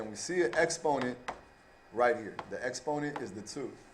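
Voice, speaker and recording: A man speaks at a fairly quick pace with ordinary pitch variation. Noticeable background noise is present. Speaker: math teacher. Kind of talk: tutorial.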